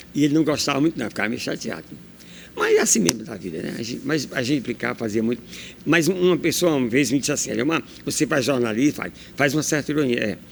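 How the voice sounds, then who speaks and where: Intonation from this man is lively. He speaks at a very fast pace. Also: fairly high pitch for a man. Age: 60s. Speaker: journalist. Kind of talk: interview. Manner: animated.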